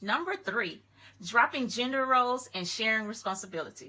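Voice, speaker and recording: Loud and bright with a sharp tone, a woman speaks at a moderate pace. Her pitch varies in an ordinary way. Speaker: lifestyle YouTuber. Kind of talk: casual advice commentary.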